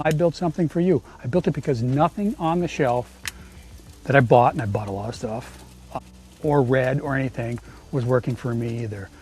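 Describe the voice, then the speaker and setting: A man at medium pitch with an American accent, lively intonation and a fairly quick pace, with music in the background. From US Midwest. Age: 60s. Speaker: small business owner and tradesman. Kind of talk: sales pitch. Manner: halting.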